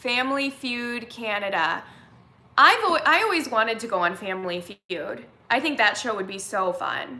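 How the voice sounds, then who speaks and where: With a Californian accent, a woman talks at a moderate pace in an animated tone, her fairly high pitch making very wide swings against audible room echo. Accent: California. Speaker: vlogger. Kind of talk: casual live-stream chat. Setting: live stream.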